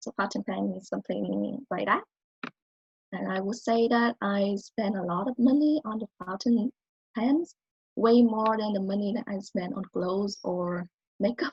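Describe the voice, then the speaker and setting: With a non-native accent, a woman speaks in a somewhat breathy voice at a medium pitch. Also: ordinary pitch variation, moderate pace. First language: not English. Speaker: college student. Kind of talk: speech.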